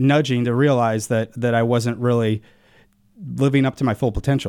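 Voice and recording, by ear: A man talks at a fairly quick pace at medium pitch, his intonation fairly even and his tone clear, smooth and slightly mellow, on a very clean recording with a silent background.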